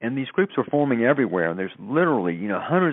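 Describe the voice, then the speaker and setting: A man is speaking. He talks with a Southern US accent. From US South. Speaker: spokesperson for a science-based consciousness initiative. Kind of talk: interview.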